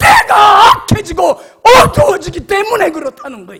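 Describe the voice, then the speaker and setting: A man's raised, projected voice at a fairly slow pace, with very wide pitch swings. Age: 70s. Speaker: pastor. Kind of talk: sermon. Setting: church. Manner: animated.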